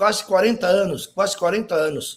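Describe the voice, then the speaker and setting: The voice belongs to a man. His pitch moves with ordinary variation. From Uruguay, Montevideo. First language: Spanish (speaking Portuguese). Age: 60s. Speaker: graphic designer, typographer. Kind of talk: interview.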